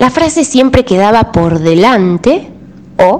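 The speaker goes very slowly in a Rioplatense accent with very wide pitch swings. Noticeable background noise runs underneath. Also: woman. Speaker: radio tango columnist. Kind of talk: radio narration.

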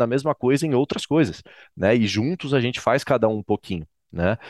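In an ordinary speaking voice, a man talks at a fairly quick pace and medium pitch with ordinary pitch variation, the sound dry and close with no echo against a quiet background. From Brazil, Florianópolis, Santa Catarina. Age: 20s. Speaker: political education NGO director and professor. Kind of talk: podcast interview.

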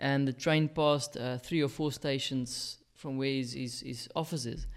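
The recording is very clean, with a silent background. A man speaks in a South African accent at a fairly high pitch. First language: Afrikaans. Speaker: podcast co-host. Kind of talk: casual chat. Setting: studio.

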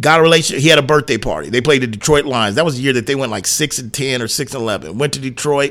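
A man at a very fast pace with hardly any pauses, medium pitch and ordinary pitch variation. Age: 40s. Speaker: sports radio host. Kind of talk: casual chat.

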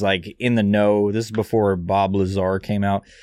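This man talks at a moderate pace with a fairly low pitch. He has an unremarkable speaking voice. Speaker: podcast host. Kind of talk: casual banter.

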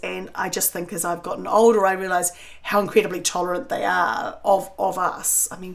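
Moving at a fairly quick pace, a woman speaks with a New Zealand accent. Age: 50s. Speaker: cook and food writer. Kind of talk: casual chat. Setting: at her beach house.

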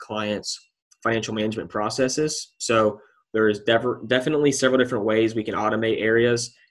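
This man has a plain, everyday voice at medium pitch with fairly even intonation. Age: 20s. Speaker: financial analyst and podcast host. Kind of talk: interview conversation.

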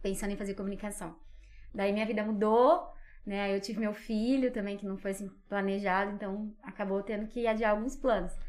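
With an unremarkable speaking voice, this woman talks at a fairly quick pace in a medium pitch and with fairly even intonation. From Brazil, Minas Gerais and São Paulo interior. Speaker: psychologist and communicator, podcast guest. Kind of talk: casual interview chat.

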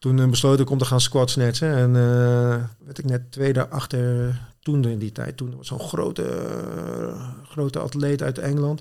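A man's medium-pitched, monotone voice at a fairly slow pace, with big swings in loudness. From Netherlands, Zwijndrecht (South Holland). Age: 40s. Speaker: CrossFit athlete and competition programmer.

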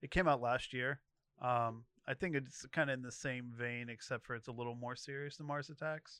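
In a western Pennsylvania accent, a man with a bright, sharp tone speaks at a moderate pace and medium pitch, his intonation fairly even against a quiet background. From Moon Township, Pittsburgh area. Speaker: podcast guest. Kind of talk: casual chat. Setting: studio.

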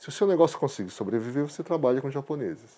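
A man talks at a fairly quick pace with lively intonation and a dark, mellow tone. The recording is very clean, the background silent. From Brazil, interior of Paraná. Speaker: professional photographer. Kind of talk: interview.

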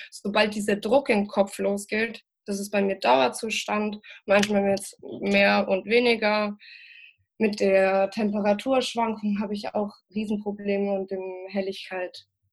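A woman speaks at a medium pitch in an unremarkable speaking voice with fairly even intonation. The recording is very clean, with a silent background. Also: fairly slow pace. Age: 20s. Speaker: cannabis patient and activist. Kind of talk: interview.

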